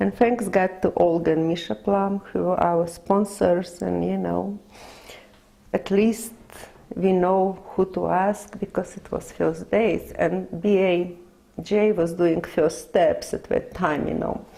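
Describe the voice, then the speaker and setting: This woman has a Russian accent. She speaks at a very slow pace. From Lithuania. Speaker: immigrant interviewee. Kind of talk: oral history interview. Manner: halting.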